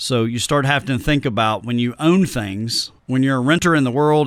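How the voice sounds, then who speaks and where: A man with a Tennessee accent speaks at a medium pitch with ordinary pitch variation on a very clean recording with a silent background. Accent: Southern drawl, Tennessee. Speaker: financial planner. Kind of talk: podcast interview. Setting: studio.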